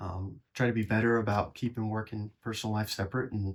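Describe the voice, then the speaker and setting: A man's somewhat breathy, fairly low voice with an American accent at a fairly quick pace. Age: 20s. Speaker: police detective. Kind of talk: interview answer. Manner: casual, conversational.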